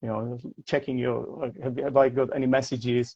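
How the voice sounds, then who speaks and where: A man's dark, mellow voice with a slight non-native accent at a moderate pace, dry and close with no echo, over a quiet background. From Czech Republic, Prague. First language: Czech. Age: 40s. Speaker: English teacher. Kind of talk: casual interview. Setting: livestream video call. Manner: halting, many repetitions.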